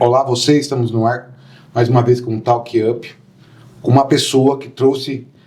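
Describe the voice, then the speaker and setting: A man at a fairly slow pace. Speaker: podcast host. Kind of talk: podcast interview questions.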